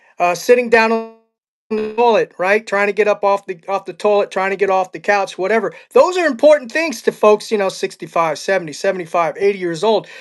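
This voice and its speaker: A man's high-pitched voice at a fairly quick pace, with ordinary pitch variation, a dry, close sound with no echo, and music in the background. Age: 60s. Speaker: podcast host. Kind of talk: interview.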